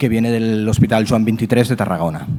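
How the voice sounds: A man's fairly low-pitched, dark, mellow voice at a fairly quick pace, with ordinary pitch variation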